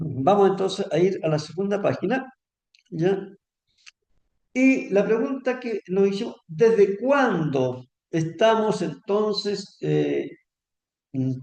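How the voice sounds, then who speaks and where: A man's high-pitched voice at a very slow pace, lively in intonation, with long, frequent pauses. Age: 70s. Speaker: pension advisor. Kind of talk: lecture. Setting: seminar with audience. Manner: conversational, frequent fillers.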